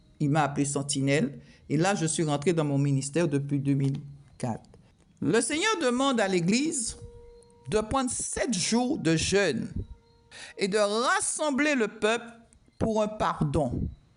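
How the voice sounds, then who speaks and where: A woman speaks at a medium pitch with very wide pitch swings and very even loudness, pausing long and often, amid noticeable background noise and audible room echo. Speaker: prophetess preacher. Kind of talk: prophetic sermon. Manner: speaking loudly with effort.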